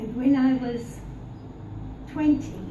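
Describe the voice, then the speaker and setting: With audible room echo and noticeable background noise, a woman speaks very slowly at a high pitch in a monotone, flat intonation. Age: 80s+. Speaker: birthday celebrant. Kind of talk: party speech. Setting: birthday party. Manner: formal.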